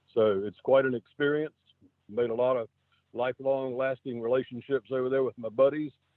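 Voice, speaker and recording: A man with a coastal North Carolina accent speaks at a medium pitch. His intonation stays fairly even. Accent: coastal North Carolina Southern. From North Carolina coast, Wilmington. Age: 70s. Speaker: city councilman. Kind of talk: radio interview. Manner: halting.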